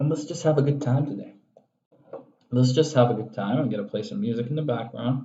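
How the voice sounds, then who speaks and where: A soft-spoken man talks with ordinary pitch variation and long, frequent pauses. Audible room echo is present. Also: medium pitch for a man, fairly quick pace. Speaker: online instructor. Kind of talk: live work session. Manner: quiet, soft-spoken; relaxed.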